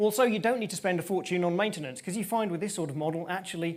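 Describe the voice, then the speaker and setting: The speaker is a man. Ordinary pitch variation runs through his speech. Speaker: tech company presenter. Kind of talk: conference presentation. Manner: fast; animated.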